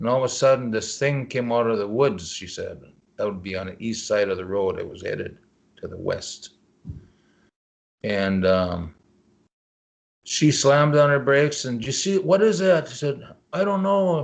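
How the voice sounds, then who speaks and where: With an American accent, a man speaks in very wide pitch swings, broken by long, frequent pauses. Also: medium pitch for a man, moderate pace, big swings in loudness. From Leech Lake Indian Reservation, Northern Minnesota. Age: 60s. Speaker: cryptozoologist. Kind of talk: interview answer.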